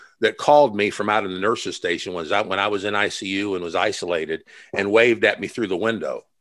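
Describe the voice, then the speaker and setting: The recording is very clean, with a silent background. A man talks at a fairly quick pace in an ordinary speaking voice, fairly low in pitch with ordinary pitch variation. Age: 50s. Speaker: evangelist. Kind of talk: interview.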